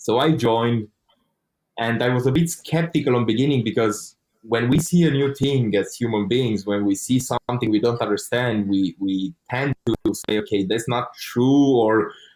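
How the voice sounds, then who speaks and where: In a Romanian accent, a man speaks at a moderate pace with a medium pitch and ordinary pitch variation. His loudness stays very even, with music in the background. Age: 20s. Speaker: online course student. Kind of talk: interview testimony.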